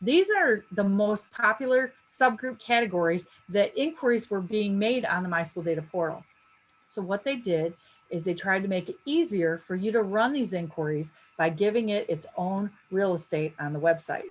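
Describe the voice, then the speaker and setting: Her intonation lively, a woman talks at a medium pitch. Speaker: education trainer presenting a data webinar. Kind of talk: webinar tutorial. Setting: online webinar. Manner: fast.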